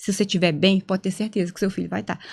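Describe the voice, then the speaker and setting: The recording is very clean with a silent background. A woman speaks at medium pitch. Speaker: psychologist. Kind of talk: casual podcast conversation. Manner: halting, not fluid.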